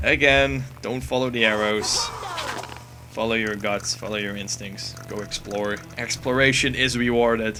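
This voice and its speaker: A man with a non-native accent talks at a fairly slow pace and medium pitch, with ordinary pitch variation and music in the background. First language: not English. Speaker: gaming commentator. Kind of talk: gameplay commentary. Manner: casual, with fillers.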